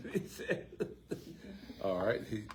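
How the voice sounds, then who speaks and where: A man speaks in an American accent, his voice somewhat breathy. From Baltimore, Maryland, US. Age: 70s. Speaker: community member asking questions. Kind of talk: audience comment at public forum. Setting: community forum with audience.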